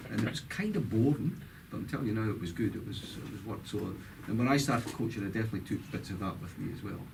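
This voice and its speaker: Room echo is audible as a man talks at a very fast pace. His pitch is medium with ordinary variation. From Scotland, Dundee. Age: 60s. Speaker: former football player and coach. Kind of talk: interview.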